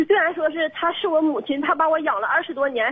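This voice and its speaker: Over noticeable background noise, a woman talks at a very fast pace. Her pitch is extremely high. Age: 30s. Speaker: blind caller seeking advice. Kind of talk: emotional call-in confession. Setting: phone call. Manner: halting, many fillers.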